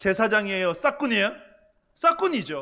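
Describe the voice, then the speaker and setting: A man's raised, projected voice, high in pitch and bright and sharp in tone, on a very clean recording with a silent background. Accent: Gyeongsang. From Gyeongsang province, Cheongsong. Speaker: pastor. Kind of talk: sermon.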